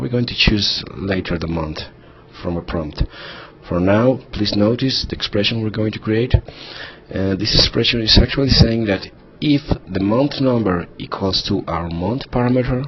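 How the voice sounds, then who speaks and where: A man with a non-native accent, fairly low in pitch and moderate in pace, over noticeable background noise. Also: ordinary pitch variation. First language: not English. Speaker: software tutorial instructor. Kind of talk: screen-recorded tutorial. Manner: hesitant, with fillers.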